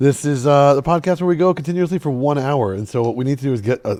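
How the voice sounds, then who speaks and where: Here a man talks at a very fast pace with lively intonation. His pitch is medium and his tone is dark and mellow. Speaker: podcast host and tour guide. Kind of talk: podcast intro and casual interview.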